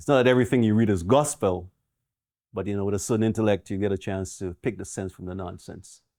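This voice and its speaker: A man's fairly low, dark and mellow voice at a fairly quick pace, with ordinary pitch variation and a very clean recording over a silent background. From Trinidad. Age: 60s. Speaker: retired doctor telling life story. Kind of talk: interview, life story. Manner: conversational, reflective.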